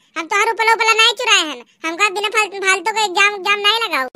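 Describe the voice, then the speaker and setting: A woman puts on a cartoonish character voice, squeaky and extremely high in pitch. She talks at a very fast pace with ordinary pitch variation. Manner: whiny, pleading.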